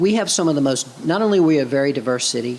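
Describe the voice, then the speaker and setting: Noticeable background noise fills the recording. Over it, a man speaks at a very fast pace. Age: 60s. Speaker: city mayor. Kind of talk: interview conversation.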